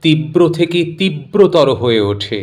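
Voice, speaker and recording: A man with a fairly high pitch speaks in an ordinary speaking voice. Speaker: poetry reciter. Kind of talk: spoken introduction to a poem.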